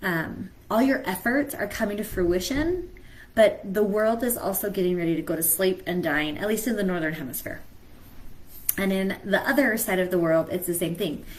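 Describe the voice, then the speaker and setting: The voice is somewhat breathy, with lively intonation. Its pace is moderate. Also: woman, medium pitch for a woman. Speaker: mentor. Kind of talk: live stream talk.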